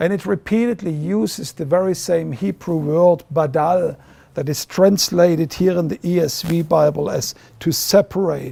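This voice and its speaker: A man with a German accent has a high pitch and a dark, mellow tone. He keeps a moderate pace with ordinary pitch variation. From Germany. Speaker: ministry leader. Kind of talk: video address.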